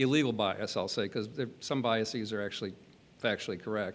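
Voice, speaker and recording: A man's normal speaking voice, at a moderate pace with fairly even intonation. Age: 60s. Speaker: cybersecurity panelist. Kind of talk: panel discussion.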